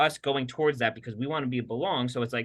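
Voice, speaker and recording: A man speaks with a bright, sharp tone against a quiet background. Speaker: podcast co-host, health practitioner working with patients. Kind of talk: casual conversational podcast chat. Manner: fast; animated.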